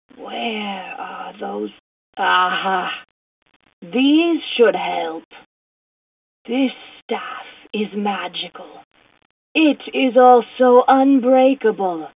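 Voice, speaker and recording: A put-on character voice, female-sounding and fairly high in pitch, at a very slow pace with long, frequent pauses. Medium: audio drama.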